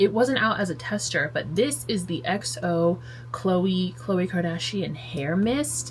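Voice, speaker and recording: With noticeable background noise behind her, a woman speaks at a fairly low pitch that swings very widely. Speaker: lifestyle vlogger. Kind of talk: casual vlog talk. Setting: in bed at home. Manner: chatty, filler-heavy.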